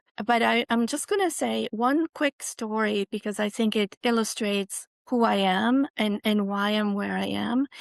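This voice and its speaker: A woman with a Swiss accent talks at a fairly high pitch with ordinary pitch variation. She leaves hardly any pauses, in a dry, close sound with no echo. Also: moderate pace. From Switzerland. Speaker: university president. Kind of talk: interview. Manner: halting, many restarts.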